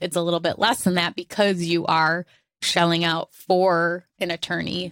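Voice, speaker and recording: Recorded with a dry, close sound and no echo, a woman uses an ordinary speaking voice. Her pitch is fairly low and her pace moderate. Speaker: podcast host. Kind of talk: casual chat.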